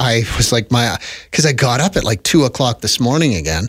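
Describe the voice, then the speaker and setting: On a very clean recording with a silent background, a man talks with a Canadian accent. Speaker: radio host. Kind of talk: casual chat. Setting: studio. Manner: relaxed. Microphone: close to the mic.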